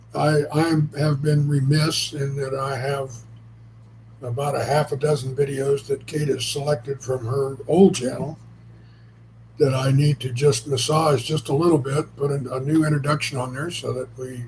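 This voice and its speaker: At a moderate pace, a man with a fairly high pitch speaks in a somewhat breathy voice with monotone, flat intonation. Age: 70s. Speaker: co-host, spouse helping with channel. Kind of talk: casual live stream chat. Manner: halting, repeats words.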